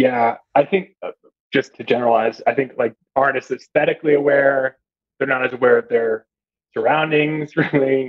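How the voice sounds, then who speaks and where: Here is a man with a plain, everyday voice at a fairly high pitch. He talks at a moderate pace with fairly even intonation. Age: 30s. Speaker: journalism graduate student. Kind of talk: casual chat.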